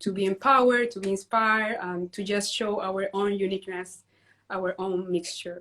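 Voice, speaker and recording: A woman in a Spanish accent, medium-pitched and monotone with flat intonation, at a moderate pace. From Peru. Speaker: dance teacher and community founder. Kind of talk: interview on a livestream.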